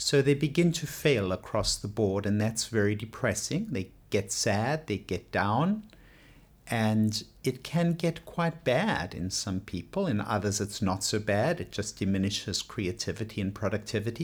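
A somewhat breathy man, fairly slow in pace, with lively intonation. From South Africa. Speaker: psychiatrist. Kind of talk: interview segment, explanatory.

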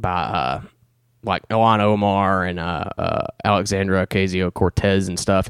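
A man with a Southern US accent is captured in a dry, close recording with no echo, very clean and with a silent background. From Alabama. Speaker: podcast host. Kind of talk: casual chat.

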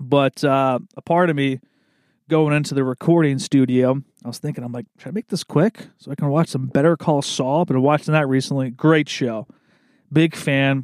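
In a very clean recording with a silent background, a man with an East Coast US accent speaks at a fairly high pitch with fairly even intonation. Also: dry, close sound with no echo. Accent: American East Coast. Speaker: podcast host. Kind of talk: casual monologue. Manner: relaxed, rambling with fillers.

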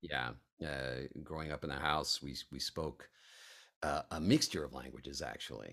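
A man's very deep, low voice with vocal fry, a bright, sharp tone, fairly even intonation and a moderate pace. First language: other than English. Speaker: actor and voice actor. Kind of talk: casual interview chat. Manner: halting with many fillers.

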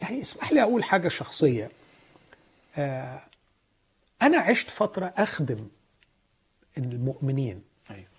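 A man with an Egyptian accent speaks at a medium pitch and a moderate pace, somewhat breathy, with very wide pitch swings, big swings in loudness and long, frequent pauses. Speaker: pastor. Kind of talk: religious teaching.

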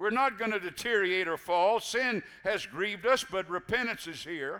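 In a raised, projected voice, a man speaks fairly slowly with a high pitch and a bright, sharp tone. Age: 70s. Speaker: pastor. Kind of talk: sermon. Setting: church. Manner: animated.

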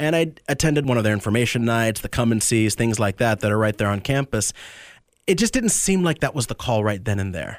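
A man with an unremarkable speaking voice talks at a fairly quick pace and medium pitch with lively intonation in a very clean recording with a silent background. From Tampa area, Florida. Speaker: deacon about to be ordained priest. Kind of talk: radio interview.

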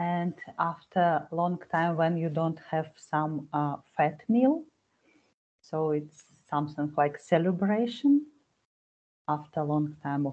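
With a Russian accent, the speaker goes at a very slow pace with long, frequent pauses and fairly even intonation. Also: woman, very deep, low pitch for a woman. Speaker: language learner. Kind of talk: casual chat.

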